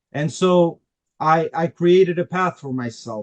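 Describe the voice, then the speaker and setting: Here a man talks with a non-native accent. The sound is dry and close, with no echo. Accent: foreign. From Albania, raised in Queens, New York from age 11. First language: Albanian. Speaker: immigrant attorney. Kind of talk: interview. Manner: halting, many fillers.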